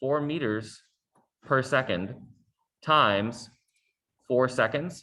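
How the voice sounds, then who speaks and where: Lively intonation from a man with a medium pitch and a bright, sharp tone. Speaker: science teacher. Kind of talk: tutorial.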